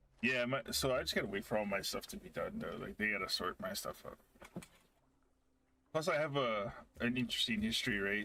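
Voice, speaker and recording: In a gruff, angry tone, the speaker moves at a fairly quick pace broken by long, frequent pauses. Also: man. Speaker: gaming streamer. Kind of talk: casual chat. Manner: sounds angry or gruff.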